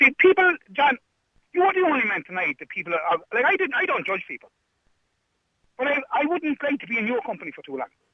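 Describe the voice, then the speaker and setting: An extremely high-pitched man's voice, very fast and animated, with very wide pitch swings and long, frequent pauses. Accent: Irish. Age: 50s. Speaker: caller. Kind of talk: heated debate.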